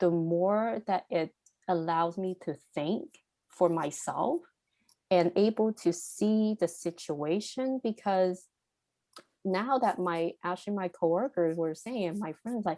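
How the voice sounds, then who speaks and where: Speaking at a very slow pace, a woman with a Cantonese accent has a medium pitch, a dark, mellow tone and ordinary pitch variation, recorded with a dry, close sound and no echo. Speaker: podcast guest. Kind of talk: interview conversation. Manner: halting, with self-corrections.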